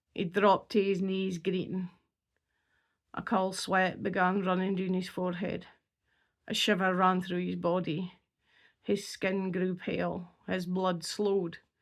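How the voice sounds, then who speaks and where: On a very clean recording with a silent background, a woman with a North East Scottish accent speaks at a fairly slow pace and a medium pitch, her intonation monotone and flat, with long, frequent pauses. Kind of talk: horror story reading.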